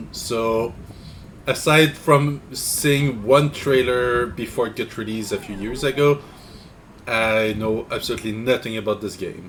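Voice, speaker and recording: A man speaks fairly slowly at a medium pitch, his pitch varying in an ordinary way, with noticeable background noise behind him. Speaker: streamer. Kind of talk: casual let's play commentary. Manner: halting.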